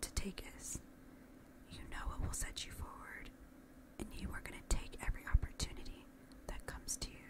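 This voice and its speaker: Whispering comes from a woman. She keeps a moderate pace. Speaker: ASMR creator. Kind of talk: ASMR positive affirmations with personal attention, addressed to the listener. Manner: soft, reassuring, encouraging. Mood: warm, encouraging. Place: home room. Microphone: studio mic.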